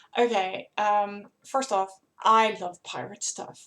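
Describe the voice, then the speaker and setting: A woman speaks with a Dutch accent. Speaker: author and board game vlogger. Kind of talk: casual vlog review. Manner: hesitant, many fillers; enthusiastic.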